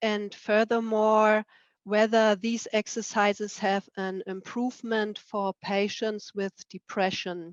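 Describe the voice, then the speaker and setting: In a dry, close sound with no echo and a quiet background, a woman speaks very slowly with monotone, flat intonation. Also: fairly high pitch for a woman. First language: German. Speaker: researcher. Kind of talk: presentation.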